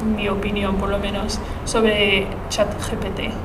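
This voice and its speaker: Woman at medium pitch, with audible room echo and noticeable background noise. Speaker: journalism student, podcast host. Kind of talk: casual chat. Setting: university classroom with echo. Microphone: echo, uneven distance to mic.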